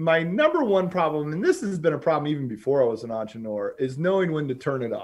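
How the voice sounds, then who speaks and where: A man with an American accent uses a plain, everyday voice at a fairly high pitch. His intonation is lively, and the background is quiet. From North Carolina, Charlotte area. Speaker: business founder and CEO. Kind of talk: podcast interview.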